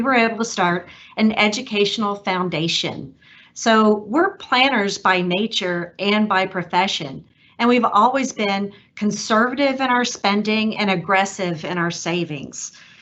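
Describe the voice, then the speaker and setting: A woman at a moderate pace, with a Texas accent, medium pitch and ordinary pitch variation. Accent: Texas twang. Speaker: donor. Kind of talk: prepared speech.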